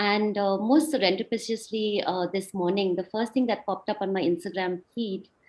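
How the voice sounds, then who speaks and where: A woman with a northeastern Indian accent talks at a fairly quick pace, her medium pitch showing ordinary variation. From India, Shillong (Meghalaya). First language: Khasi. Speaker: speaker at online talk. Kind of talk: presentation talk. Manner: halting, many fillers.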